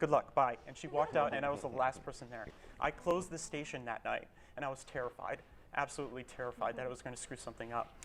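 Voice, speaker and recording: Speaking very fast at medium pitch, a man keeps fairly even intonation while his loudness swings widely. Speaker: public radio broadcast specialist. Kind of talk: panel discussion. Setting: live radio broadcast panel.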